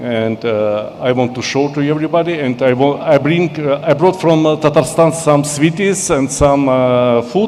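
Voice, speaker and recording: A man's pitch varies in an ordinary way, with noticeable background noise behind him. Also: hardly any pauses. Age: 60s. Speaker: cookbook author. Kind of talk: speech to an audience. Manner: halting.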